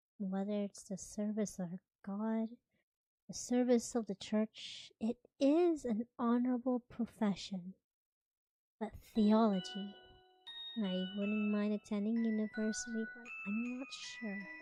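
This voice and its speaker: A soft-spoken woman at fairly high pitch and very slow pace, with big swings in loudness, a dry, close sound with no echo, and music in the background. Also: fairly even intonation. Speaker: VTuber streamer. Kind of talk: live-stream reading of a visual novel with chatty asides.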